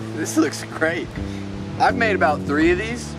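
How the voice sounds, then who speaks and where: Over clear background music, a man is talking. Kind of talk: casual tutorial. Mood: relaxed, pleased. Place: forest.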